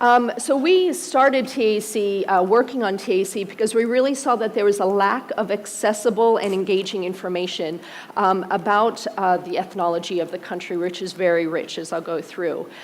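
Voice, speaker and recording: Recorded with audible room echo and noticeable background noise, a woman with an American accent speaks at a moderate pace and medium pitch, with ordinary pitch variation. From United States. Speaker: museum co-director. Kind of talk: conference presentation. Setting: auditorium stage with audience. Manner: frequent fillers (um).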